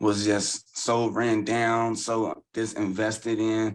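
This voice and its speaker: The background is free of noise. A man talks with a medium pitch. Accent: Southern US. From Louisville, Kentucky. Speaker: community leader and housing advocate. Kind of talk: podcast interview.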